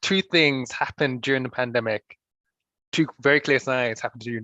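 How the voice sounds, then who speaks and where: Bright and sharp in tone, a man talks fairly quickly with fairly even intonation. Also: dry, close sound with no echo. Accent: London. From London. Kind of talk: panel discussion. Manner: halting, repeats words.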